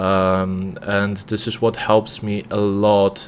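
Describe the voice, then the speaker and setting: A man talks with a non-native accent. His pitch is fairly low. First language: not English. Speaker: trader. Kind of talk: live trading stream commentary. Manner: many fillers and hesitations.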